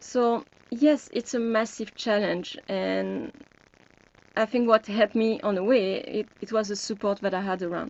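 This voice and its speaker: In a French accent, a woman talks at a fairly slow pace. Her pitch is fairly high and her intonation fairly even. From France. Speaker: health coach. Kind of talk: webinar group discussion.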